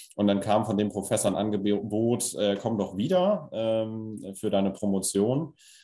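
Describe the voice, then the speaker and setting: Fairly low in pitch and dark, mellow in tone, a man speaks with fairly even intonation and very even loudness. He leaves hardly any pauses. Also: fairly slow pace. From northern Germany, Lower Saxony (Stade district). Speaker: engineer and cluster managing director. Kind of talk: interview.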